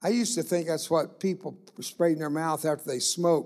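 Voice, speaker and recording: A man with an animated tone, a fairly high pitch and a moderate pace. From US South, Texas (Rio Grande Valley). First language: Spanish. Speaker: guest preacher. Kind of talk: sermon. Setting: church service.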